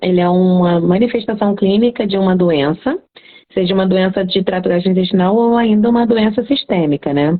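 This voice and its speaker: In a Carioca accent, a woman speaks at a medium pitch. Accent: carioca (Rio de Janeiro) Portuguese. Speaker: cat veterinarian. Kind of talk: live stream talk, educational. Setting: live stream.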